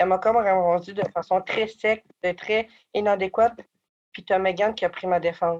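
A woman in a Quebec accent at a moderate pace, medium in pitch, with a monotone, flat intonation. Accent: Québécois French. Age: 20s. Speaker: former youth in care, community advocate. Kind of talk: personal testimony interview.

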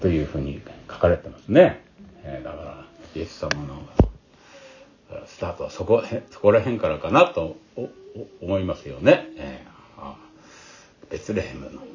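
Speaking at a fairly slow pace, a man leaves long, frequent pauses and swings widely in loudness, with noticeable background noise behind him. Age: 70s. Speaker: pastor. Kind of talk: sermon.

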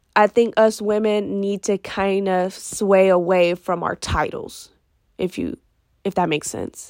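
A woman speaks at a medium pitch and a fairly slow pace, her tone animated. The sound is dry and close with no echo, on a very clean recording with a silent background. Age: 20s. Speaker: podcast host. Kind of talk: casual monologue.

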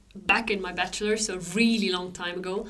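A woman speaks with audible room echo. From Switzerland. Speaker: astronomer. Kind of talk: casual chat.

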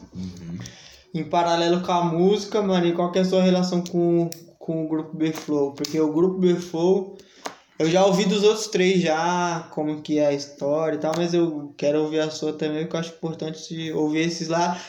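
Against noticeable background noise and audible room echo, a high-pitched man speaks at a moderate pace in a monotone, flat intonation. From Brazil, São Paulo (city centre). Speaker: podcast host. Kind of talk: casual chat.

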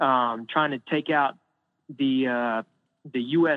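The speaker has an unremarkable speaking voice with an American accent. Intonation is fairly even and the pace moderate. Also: man. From US, mostly North Carolina and Michigan. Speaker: actor. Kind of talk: casual chat. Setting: phone call.

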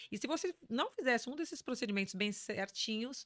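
A woman's normal speaking voice, fairly high in pitch, with lively intonation. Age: 50s. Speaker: business executive. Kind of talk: interview.

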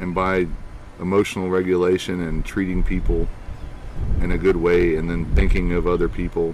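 Speaking at a moderate pace, a man uses a low pitch and a slightly mellow tone, with monotone, flat intonation.

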